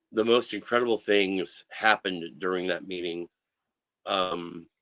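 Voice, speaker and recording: At a fairly slow pace, a man speaks with a very deep, low pitch and a bright, sharp tone, his intonation fairly even and the sound dry and close with no echo. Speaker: comic book artist guest. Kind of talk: casual interview chat. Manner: halting, with frequent fillers.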